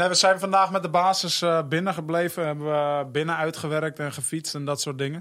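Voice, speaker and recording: A man's unremarkable speaking voice, fairly high in pitch, fairly even in intonation, at a fairly quick pace with hardly any pauses, in a very clean recording with a silent background. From North Holland, Hoofddorp. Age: 20s. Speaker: professional footballer. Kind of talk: interview.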